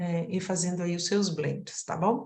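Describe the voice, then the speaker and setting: In a room with audible echo, a woman speaks at a fairly slow pace in a somewhat breathy voice. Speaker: aromatherapy teacher. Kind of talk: online lecture.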